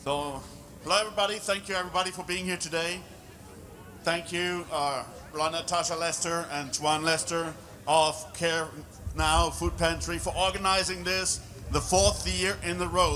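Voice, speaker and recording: With noticeable background noise and audible room echo, a man speaks at a moderate pace, his high pitch following fairly even intonation. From Germany. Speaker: public speaker. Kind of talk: speech.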